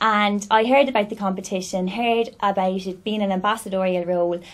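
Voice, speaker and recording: With an Irish accent, a woman speaks at a moderate pace and a medium pitch against a quiet background. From Ireland, County Cavan. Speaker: beauty pageant winner. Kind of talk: interview. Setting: studio.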